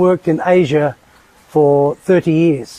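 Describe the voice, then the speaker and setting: Speaking fairly slowly, this man keeps going. His delivery stays monotone and flat. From northern England. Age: 60s. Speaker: expat landlord interviewee. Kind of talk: casual interview. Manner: hesitant with repetitions.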